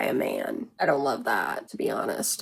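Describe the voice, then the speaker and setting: Vocal fry, in an American accent. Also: woman. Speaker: vlogger. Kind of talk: casual vlog.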